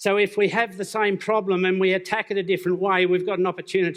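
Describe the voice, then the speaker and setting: With an Australian accent, the speaker moves at a fairly quick pace in a monotone, flat intonation. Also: man. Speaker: business speaker. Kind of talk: conference talk.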